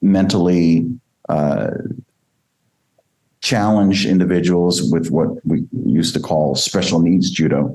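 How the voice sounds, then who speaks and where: Delivery is fairly slow, with long, frequent pauses and very even loudness. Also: man, very deep, low pitch for a man, ordinary pitch variation. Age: 60s. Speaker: judo coach. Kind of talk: interview. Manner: frequent hesitations.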